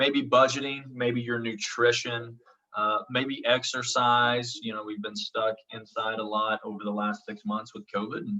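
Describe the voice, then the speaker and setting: A man at a medium pitch, speaking at a fairly slow pace with fairly even intonation and big swings in loudness. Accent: American. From Oklahoma. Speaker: college instructor. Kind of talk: online lecture. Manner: many fillers (um, uh).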